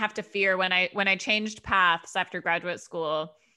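Loud and flat, a woman with an American accent speaks at medium pitch in a monotone over a quiet background. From Denver, Colorado. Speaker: theater artistic director. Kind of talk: casual interview.

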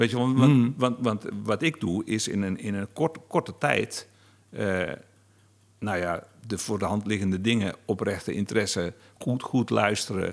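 A man speaks in an ordinary speaking voice. The recording is very clean, with a silent background. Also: fairly low pitch for a man, ordinary pitch variation. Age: 50s. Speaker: novelist and interviewer. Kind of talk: interview conversation.

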